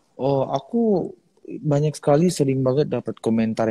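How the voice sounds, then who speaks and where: A man's dark, mellow voice with lively intonation at a moderate pace, in a dry, close recording with no echo. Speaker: singing competition finalist. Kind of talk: interview. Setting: live video stream.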